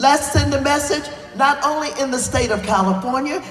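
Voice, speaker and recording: Against noticeable background noise, a woman speaks at a high pitch with ordinary pitch variation. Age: 80s+. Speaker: congresswoman. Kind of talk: political speech.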